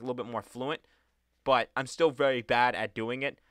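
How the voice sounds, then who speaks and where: A man's bright, sharp voice at a fairly quick pace, dry and close with no echo, on a very clean recording with a silent background. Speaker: YouTuber. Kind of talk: personal vlog monologue. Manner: halting.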